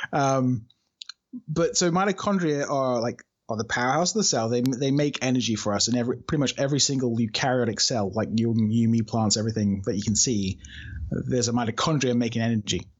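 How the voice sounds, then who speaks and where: A man with a British accent talks at a very fast pace and medium pitch. His pitch varies in an ordinary way while his loudness stays very even. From UK. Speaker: research scientist. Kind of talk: casual interview chat.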